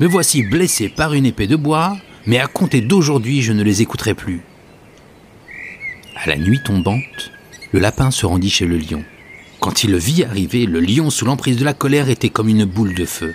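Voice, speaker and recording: Over noticeable background noise, a man speaks in a calm, dramatic tone at a medium pitch, with very wide pitch swings and long, frequent pauses. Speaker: podcast host and storyteller. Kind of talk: bedtime story telling, a Sufi tale read aloud in a hushed, soothing voice; solo podcast with scripted tale narration. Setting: solo recording, podcast. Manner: slow, measured and calm, with dramatic pauses and shifting tones for each animal; gentle, devotional and reverent, almost lulling.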